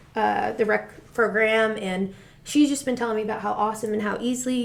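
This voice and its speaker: A woman with an American accent talks at a fairly high pitch with fairly even intonation. Noticeable background noise and audible room echo fill the recording. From Rhode Island, US Northeast. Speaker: high school soccer coach. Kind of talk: interview. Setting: studio. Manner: fast.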